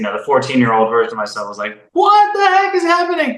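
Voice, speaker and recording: A man talks with ordinary pitch variation. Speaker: voice actor. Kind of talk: interview answer. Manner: casual, conversational.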